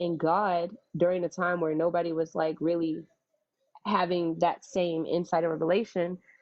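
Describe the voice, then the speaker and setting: The loudness stays very even. Intonation is monotone and flat. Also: woman, fairly low pitch for a woman, moderate pace. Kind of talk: religious teaching, live-stream response to a viewer.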